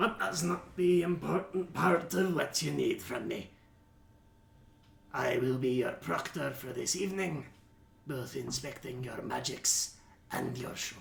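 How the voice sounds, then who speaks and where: A raspy, put-on character voice from a man, fairly high-pitched, at a fairly slow pace with long, frequent pauses. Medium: actual play. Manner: curt, businesslike.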